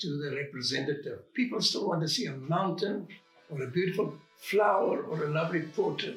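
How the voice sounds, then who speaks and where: A man talks at a moderate pace with a high pitch and lively intonation. Audible room echo surrounds his voice. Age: 80s+. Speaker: painter. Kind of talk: interview. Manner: halting.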